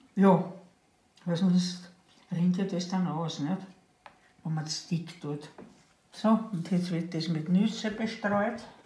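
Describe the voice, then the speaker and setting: A woman speaks at a very slow pace in a fairly low pitch, with fairly even intonation. Long, frequent pauses break her speech, and audible room echo surrounds it. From Burgenland, eastern Austria. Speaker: grandmother baker. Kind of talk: cooking demonstration. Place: kitchen. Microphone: camera far.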